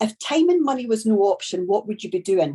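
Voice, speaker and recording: A woman with a strong Scottish accent talks at a fairly quick pace. Her fairly high voice has a dark, mellow tone and very wide pitch swings. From Scotland. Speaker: network marketing trainer. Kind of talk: training talk. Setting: video call.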